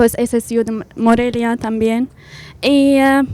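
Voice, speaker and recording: At a very slow pace, a woman with an Arabic accent speaks in a dark, mellow tone with fairly even intonation. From Syria. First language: Arabic (speaking Spanish). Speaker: university student. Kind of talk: panel discussion. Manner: halting.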